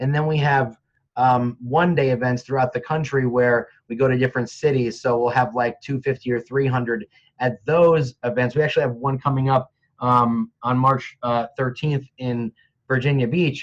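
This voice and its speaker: With an American accent, a man at medium pitch speaks at a moderate pace in an unremarkable speaking voice. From New Jersey (Montclair). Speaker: real estate agent and industry trainer. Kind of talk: casual interview.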